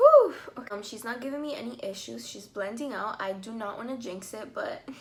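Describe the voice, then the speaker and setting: There's audible room echo around this voice. A woman speaks at a moderate pace. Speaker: beauty vlogger. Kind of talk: makeup tutorial review. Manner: casual, chatty with fillers.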